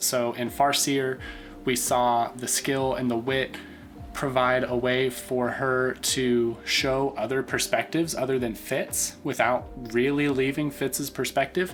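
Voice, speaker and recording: Music plays in the background as a man at medium pitch speaks at a very slow pace. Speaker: book reviewer. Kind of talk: casual talk to camera.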